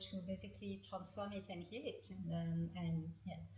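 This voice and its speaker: With a French accent, a woman talks at a moderate pace. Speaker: author and healing practitioner. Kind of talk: interview. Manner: halting, many fillers.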